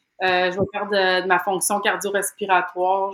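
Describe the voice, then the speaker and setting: In a Quebec accent, a woman talks at a fairly quick pace. Her medium-pitched voice stays monotone and flat. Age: 30s. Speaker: program participant. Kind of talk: interview. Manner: hesitant, many fillers.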